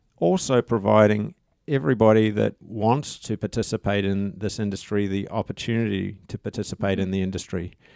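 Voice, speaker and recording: In a New Zealand accent, a man talks at a fairly quick pace with a dark, mellow tone and fairly low pitch, the sound dry and close with no echo over a quiet background. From New Zealand (rural Waikato). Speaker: tourism professor and association chairman. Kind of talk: interview. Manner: halting.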